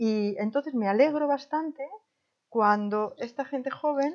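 The intonation of this woman is lively. She speaks fairly slowly. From Spain, Madrid. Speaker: retired volunteer advisor. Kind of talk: interview. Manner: halting.

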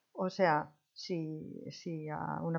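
A woman speaks with a fairly low pitch. Her intonation is fairly even. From Spain, Madrid. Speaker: retired volunteer advisor. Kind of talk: interview. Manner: halting.

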